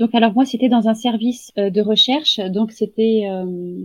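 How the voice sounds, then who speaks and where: Somewhat breathy, a woman speaks slowly-ish at a fairly high pitch, with ordinary pitch variation and a fairly slow pace. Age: 30s. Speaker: home-care nurse. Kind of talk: interview. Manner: hesitant, many fillers.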